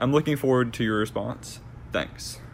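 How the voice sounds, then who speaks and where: A man's voice with vocal fry. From Alabama (Huntsville). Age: 20s. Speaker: college student asking a question. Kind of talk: recorded voice question.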